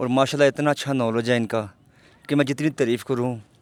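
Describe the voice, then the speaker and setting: Fairly even intonation marks a man's speech at a medium pitch. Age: 40s. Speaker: vlogger interviewer. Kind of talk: casual interview.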